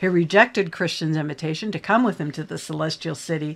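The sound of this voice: The voice has vocal fry. It moves at a moderate pace. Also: woman.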